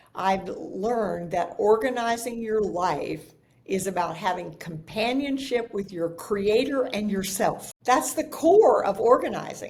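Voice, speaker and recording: The speech shows ordinary pitch variation. Noticeable background noise runs underneath. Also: woman. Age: 70s. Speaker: professional organizer and author. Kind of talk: podcast interview.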